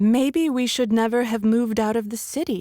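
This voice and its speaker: At a moderate pace, a female-sounding voice uses a put-on character voice with a fairly high pitch. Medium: read story. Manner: subdued, guarded.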